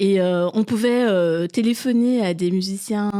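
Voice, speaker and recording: A woman speaks very slowly in a dark, mellow tone with ordinary pitch variation. The recording is very clean, with a silent background. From Belgium (Brussels area), Congolese family. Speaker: art historian and artist coach. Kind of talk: podcast interview. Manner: hesitant, many fillers.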